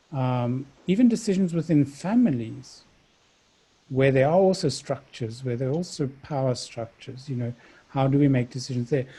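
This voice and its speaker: A man speaks at a moderate pace with a dark, mellow tone, medium pitch, somewhat breathy delivery and ordinary pitch variation. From South Africa. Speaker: dialogue facilitator. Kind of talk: interview. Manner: halting.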